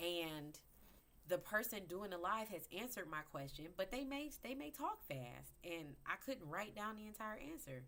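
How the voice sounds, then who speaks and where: Delivered at a fairly slow pace, the animated voice has a bright, sharp tone and very wide pitch swings. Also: woman. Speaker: crypto educator. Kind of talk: livestream tutorial. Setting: live video broadcast.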